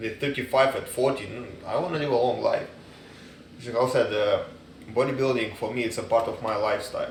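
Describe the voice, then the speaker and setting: Man with a non-native accent at a fairly quick pace, with audible room echo and noticeable background noise. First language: not English. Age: 30s. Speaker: dog trainer and fitness enthusiast. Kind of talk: casual advice monologue. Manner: casual, halting with fillers.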